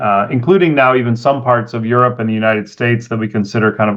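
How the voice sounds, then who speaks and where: In an American accent, a man with an unremarkable speaking voice talks fairly quickly, medium in pitch with ordinary pitch variation. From California. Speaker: venture capitalist. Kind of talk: interview.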